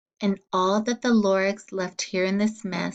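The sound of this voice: The reading voice is unforced. Someone reads the text aloud.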